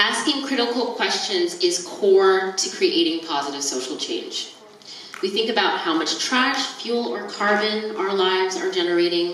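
A woman with an American accent talks at a moderate pace with lively intonation, with audible room echo and light background noise. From US. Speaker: keynote speaker, nonprofit activist. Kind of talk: lecture. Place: tent.

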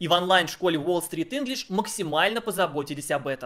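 A man talks fairly quickly in a high pitch with lively intonation. The background is quiet. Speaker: video blogger. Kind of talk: sponsored ad read. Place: home room. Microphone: studio mic.

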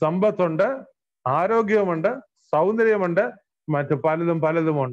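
A man speaks in a high voice against a quiet background. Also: ordinary pitch variation. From Kerala, India. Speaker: pastor. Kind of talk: sermon. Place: home room. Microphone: earbuds.

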